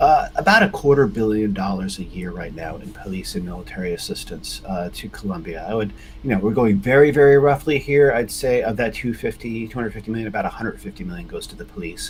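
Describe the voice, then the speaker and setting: Over noticeable background noise, a man with an American accent talks very fast with hardly any pauses and big swings in loudness. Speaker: US foreign policy expert. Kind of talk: interview.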